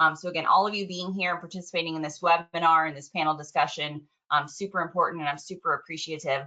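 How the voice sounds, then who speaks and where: Talking at a very fast pace, a woman with a fairly low pitch keeps fairly even intonation while her loudness swings widely. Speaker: panel moderator. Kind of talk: moderated panel discussion. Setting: webinar.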